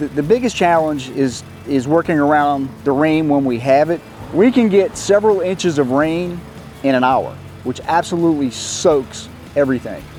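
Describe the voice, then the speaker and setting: Noticeable background noise sits behind a man speaking at a moderate pace. His fairly high voice shows ordinary pitch variation. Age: 60s. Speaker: lawn care business owner. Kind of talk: interview testimonial.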